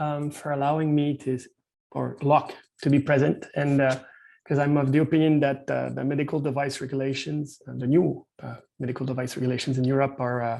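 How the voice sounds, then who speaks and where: A man's fairly high, dark and mellow voice with a Quebec accent, fairly quick and flat in a monotone. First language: French. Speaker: medical device consultant and company founder. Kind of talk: webinar presentation. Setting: video call. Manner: halting, many fillers.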